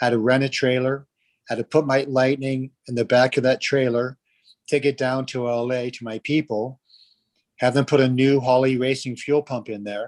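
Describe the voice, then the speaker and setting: At a moderate pace, a man speaks at medium pitch in a monotone, flat intonation, the sound dry and close with no echo. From New Jersey. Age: 70s. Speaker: live stream host. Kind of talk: casual chat.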